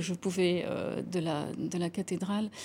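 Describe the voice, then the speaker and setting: A woman's somewhat breathy voice with a dark, mellow tone and fairly even intonation, on a very clean recording with a silent background. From Lebanon (Beirut). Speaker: architect. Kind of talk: TV interview. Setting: TV studio. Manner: halting.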